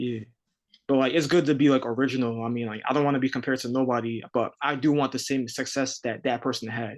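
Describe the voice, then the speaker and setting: A man with a New York accent, medium pitch, flat monotone intonation, and a very fast pace. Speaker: rapper. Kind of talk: casual chat.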